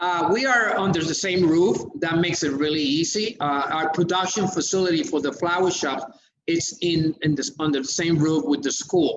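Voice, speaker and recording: A high-pitched man with a Spanish accent, ordinary pitch variation and a moderate pace. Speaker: florist and educator. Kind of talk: interview. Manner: halting, many fillers.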